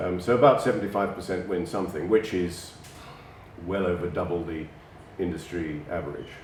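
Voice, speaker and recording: A man with a very deep, low voice speaks at a fairly quick pace with fairly even intonation and long, frequent pauses, and the room echo is audible. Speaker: bloodstock agent. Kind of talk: interview. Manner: hesitant, many fillers.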